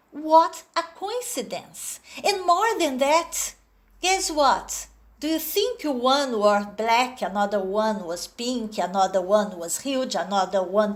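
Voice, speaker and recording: A woman with a Brazilian accent speaks very slowly in a high voice, her pitch swinging very widely. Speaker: storyteller. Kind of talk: storytelling. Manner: animated, expressive.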